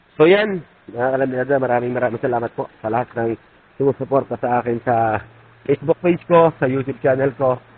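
A man talks at a very fast pace, his pitch medium and its variation ordinary. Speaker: vlogger. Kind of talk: casual vlog narration.

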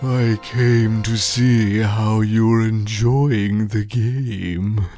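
Clear music plays in the background. Over it comes a put-on character voice at a very slow pace. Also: man, medium pitch for a man. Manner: smug, purring, menacing.

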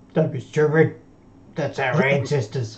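A man puts on a character voice. He sits fairly high in pitch and moves at a moderate pace. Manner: dismissive, gruff.

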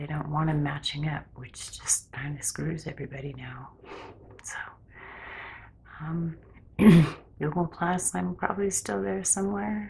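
Soft-spoken and somewhat breathy, a woman with a very deep, low pitch speaks at a fairly slow pace, her pitch swinging very widely between long, frequent pauses. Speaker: ASMR creator. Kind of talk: ASMR ramble. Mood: personal, slightly anxious. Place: home room. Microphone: phone near.

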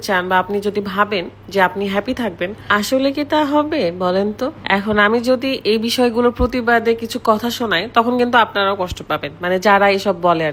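A woman speaks with ordinary pitch variation. Noticeable background noise can be heard behind her. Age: 20s. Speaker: vlogger. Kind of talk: vlog with product promotion.

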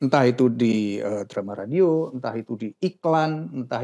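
The voice has a dark, mellow tone and ordinary pitch variation, heard over a quiet background. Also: man. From Yogyakarta, Indonesia. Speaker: voice actor and studio owner. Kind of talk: casual chat. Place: studio. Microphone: lapel.

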